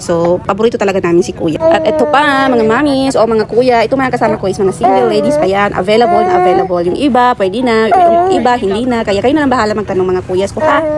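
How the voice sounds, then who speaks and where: Shouting loudly at a very fast pace with hardly any pauses, a woman's fairly high voice makes very wide pitch swings over noticeable background noise. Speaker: food vlogger. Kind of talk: vlog narration. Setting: outdoor street food market. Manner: loud, near-shouting; animated.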